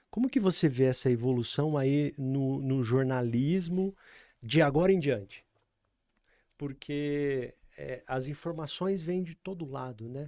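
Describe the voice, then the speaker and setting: A man with a fairly high pitch and a dark, mellow tone speaks at a fairly slow pace with ordinary pitch variation, recorded very cleanly against a silent background. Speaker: podcast host and company founder. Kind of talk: interview host.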